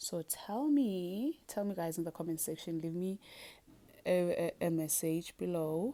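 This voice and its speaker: A woman with a South African accent speaks at a medium pitch with a dark, mellow tone and ordinary pitch variation, on a very clean recording with a silent background. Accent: South African (Zulu) English. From South Africa (Zulu). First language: Zulu. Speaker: beauty and fitness vlogger. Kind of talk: casual tutorial vlog. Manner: chatty, animated.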